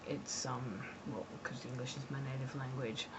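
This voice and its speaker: There is audible room echo around this woman's voice. She speaks in an Australian accent at a moderate pace. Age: 20s. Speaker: graduate student vlogger. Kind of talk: personal vlog monologue. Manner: hesitant, many fillers.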